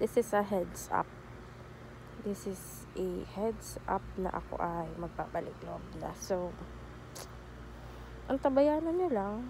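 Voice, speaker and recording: A woman talks at a very slow pace. She leaves long, frequent pauses. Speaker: vlogger. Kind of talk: casual vlog talk. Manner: halting, self-correcting.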